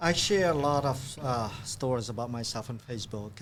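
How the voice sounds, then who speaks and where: A man at a moderate pace with a Vietnamese accent. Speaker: real estate investor. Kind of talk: interview. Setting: studio. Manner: halting.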